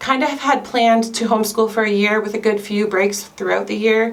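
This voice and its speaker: Speaking in a Canadian accent at a moderate pace, a woman with a fairly high pitch is heard with audible room echo and noticeable background noise. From Canada. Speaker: homeschooling mom vlogger. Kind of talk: casual vlog talk to camera. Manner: chatty, conversational.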